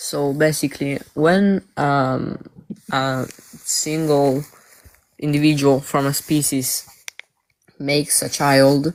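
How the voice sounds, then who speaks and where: At a very slow pace, a man with a non-native accent and a fairly high pitch talks in a monotone, flat intonation, with long, frequent pauses. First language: not English. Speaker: live stream participant. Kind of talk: debate.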